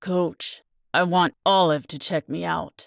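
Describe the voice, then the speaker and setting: A put-on character voice at a middle pitch and fairly slow pace, on a very clean recording with a silent background. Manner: pained, speaking through clenched teeth.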